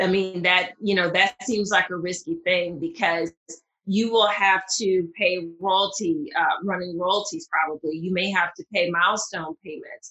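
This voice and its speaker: In a Southern US accent, a woman at medium pitch talks at a fairly slow pace with ordinary pitch variation. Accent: Southern US, pronounced. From Mississippi, US South. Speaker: patent attorney. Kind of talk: interview, conversational explanation.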